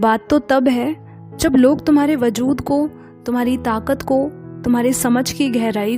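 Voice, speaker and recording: Music plays in the background as a woman speaks with a high pitch. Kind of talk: spoken-word poetry reading.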